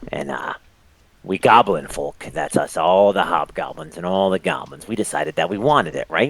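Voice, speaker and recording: A man puts on a character voice pitched very deep and low. He keeps a moderate pace. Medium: actual play. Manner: fast, casual, ingratiating.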